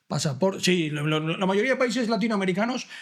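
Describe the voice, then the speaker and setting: A man's animated tone and lively intonation, with audible room echo. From Valencia, Spain. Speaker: podcast host. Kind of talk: interview conversation.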